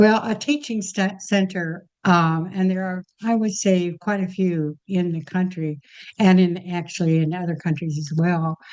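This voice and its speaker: A woman talks at a fairly slow pace in a plain, everyday voice. Her pitch is medium, with ordinary pitch variation. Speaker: retired nurse. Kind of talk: interview answer.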